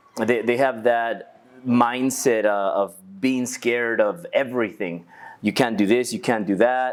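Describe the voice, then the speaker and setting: A man's medium-pitched voice with a Spanish accent and very even loudness. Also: ordinary pitch variation, fairly slow pace. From Los Angeles, Echo Park. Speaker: entrepreneur. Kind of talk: interview.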